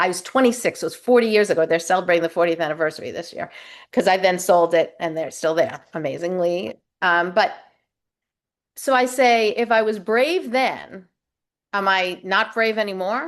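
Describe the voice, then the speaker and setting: Over a quiet background, a woman talks at a moderate pace and medium pitch with ordinary pitch variation, a normal speaking voice. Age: 60s. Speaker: life coach. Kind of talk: interview.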